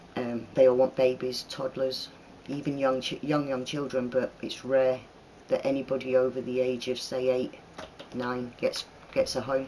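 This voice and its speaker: Against noticeable background noise, a man speaks in a monotone, flat way at a medium pitch. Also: moderate pace. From northern England (Manchester, Leeds). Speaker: YouTuber. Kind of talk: Q&A vlog.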